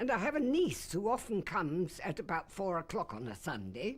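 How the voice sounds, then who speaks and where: Her voice swings very widely in pitch as this woman talks at a moderate pace with vocal fry. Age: 80s+. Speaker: crime victim. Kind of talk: testimony.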